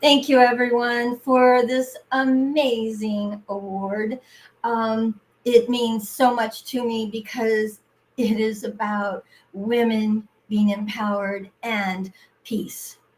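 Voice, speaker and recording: A woman speaks in a fairly high, somewhat breathy voice. Her intonation is monotone and flat, and her pace is very slow. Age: 70s. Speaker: entrepreneur and award recipient. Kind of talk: award acceptance speech.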